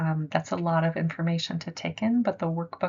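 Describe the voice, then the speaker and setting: A woman's voice, fairly low in pitch. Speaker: art therapy presenter. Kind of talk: lecture. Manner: fast.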